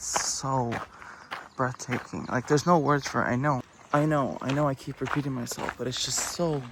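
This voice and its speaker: A man with a fairly high pitch and ordinary pitch variation talks at a moderate pace as noticeable background noise carries on. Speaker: travel vlogger. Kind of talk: casual travel vlog narration. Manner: animated; whispering.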